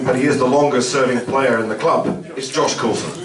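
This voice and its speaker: Through noticeable background noise and audible room echo, a man with a Scottish accent speaks at a moderate pace and medium pitch. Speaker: radio presenter hosting player introductions. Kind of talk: live event introductions and interviews.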